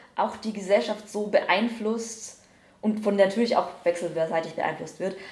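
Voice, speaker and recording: A woman's medium-pitched voice at a moderate pace, fairly even in intonation, with audible room echo. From Bavaria, Upper Palatinate (Schwandorf). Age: 20s. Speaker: screenwriter. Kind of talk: casual interview. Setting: on location after jury session.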